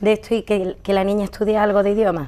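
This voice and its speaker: A woman talks at a fairly quick pace in a medium pitch. Her tone is dark and mellow. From Andalusia, Seville. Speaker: medical interpreter. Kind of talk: interview.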